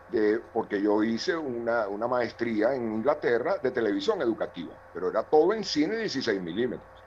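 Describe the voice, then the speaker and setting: Using an ordinary speaking voice, a man talks at a moderate pace and medium pitch, with lively intonation and hardly any pauses. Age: 60s. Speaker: television director and university lecturer. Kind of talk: participant comment in online seminar.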